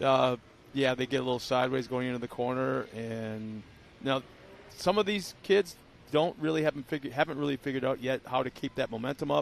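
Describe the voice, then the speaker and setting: This man talks at a fairly quick pace in a medium pitch with ordinary pitch variation, a normal speaking voice. The sound is dry and close, with no echo. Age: 60s. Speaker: race commentator. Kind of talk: live race commentary.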